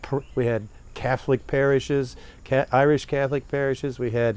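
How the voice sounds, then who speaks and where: A man's medium-pitched voice with a slight Southern US accent, monotone, flat intonation and a moderate pace. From northern Appalachia (Steubenville, Ohio). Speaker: poet and professor. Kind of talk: interview. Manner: halting, many fillers.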